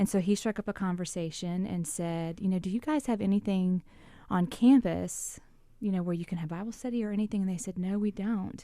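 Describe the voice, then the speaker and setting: With a Southern US accent, a woman speaks at a fairly quick pace. Her medium-pitched voice has a dark, mellow tone and ordinary pitch variation. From South Louisiana. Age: 40s. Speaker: campus minister. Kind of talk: radio interview. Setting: radio studio.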